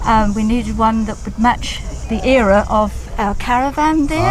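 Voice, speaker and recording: Music plays in the background, and audible room echo surrounds the voice. The pace is fairly slow, with ordinary pitch variation. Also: woman. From England. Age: 70s. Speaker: classic car owner. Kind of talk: casual interview. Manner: halting.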